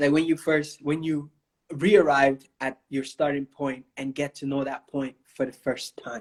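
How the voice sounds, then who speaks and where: The sound is dry and close with no echo. A man with a fairly high pitch talks at a moderate pace in a monotone, flat way. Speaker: author. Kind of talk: interview. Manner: halting, with many fillers.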